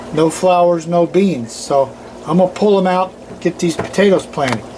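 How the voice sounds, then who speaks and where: A man with a Southern US accent speaks at a high pitch and a moderate pace. Noticeable background noise runs underneath. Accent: Southern US (Georgia). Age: 70s. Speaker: gardening youtuber. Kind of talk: casual gardening tutorial. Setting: outdoors in a garden. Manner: casual, folksy.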